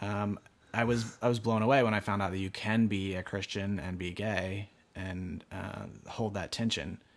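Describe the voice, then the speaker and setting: At a moderate pace, a man with an American accent speaks in a plain, everyday voice, his pitch fairly low and his intonation fairly even. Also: quiet background. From rural Pennsylvania. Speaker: artist. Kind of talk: interview conversation. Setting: studio.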